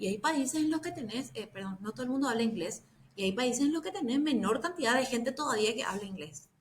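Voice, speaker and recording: Talking at a very fast pace with hardly any pauses, a woman with a Paraguayan accent uses lively intonation at a fairly high pitch. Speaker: bitcoin educator. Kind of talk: casual chat.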